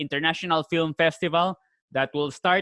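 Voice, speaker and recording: The man speaking has a high-pitched voice. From Spain. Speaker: video host and film actor. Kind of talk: casual interview chat.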